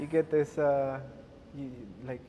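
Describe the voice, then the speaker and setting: The tone is dark and mellow, in a Spanish accent. Intonation stays fairly even. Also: man. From Uruguay. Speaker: podcast guest. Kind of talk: casual chat. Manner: halting.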